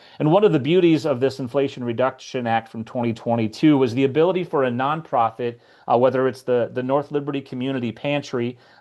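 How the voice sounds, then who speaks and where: The speaker is a man with a medium pitch. His pitch varies in an ordinary way. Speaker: solar energy advocate, guest presenter. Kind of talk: presentation at a community meeting. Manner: fast; frequent filler words and restarts.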